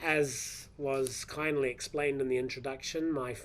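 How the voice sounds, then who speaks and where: In a New Zealand accent, a man talks with monotone, flat intonation. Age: 50s. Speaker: professor. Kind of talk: lecture. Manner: hesitant, with fillers.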